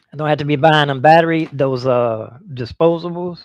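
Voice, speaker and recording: A man talks fairly quickly in an ordinary speaking voice, his intonation lively. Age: 60s. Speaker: semi-retired street performer and livestreamer. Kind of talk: casual live stream chat. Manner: relaxed, meandering.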